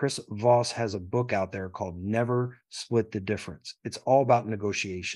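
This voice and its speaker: This unremarkable speaking voice has an American accent and fairly even intonation, captured on a very clean recording with a silent background. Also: man. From Philadelphia. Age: middle-aged. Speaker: entrepreneur and military veteran. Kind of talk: casual interview.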